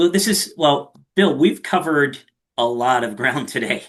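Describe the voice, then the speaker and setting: This is a man with a Philadelphia accent. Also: quiet background. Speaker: podcast host. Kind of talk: podcast interview.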